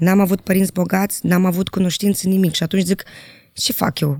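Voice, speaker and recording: At a fairly quick pace, a woman talks with monotone, flat intonation in a dry, close sound with no echo. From Moldova. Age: 30s. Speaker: journalist. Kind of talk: casual chat.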